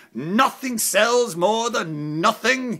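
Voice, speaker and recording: Putting on a character voice, a man talks with a high pitch and lively intonation. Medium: solo performance. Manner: wry, self-mocking.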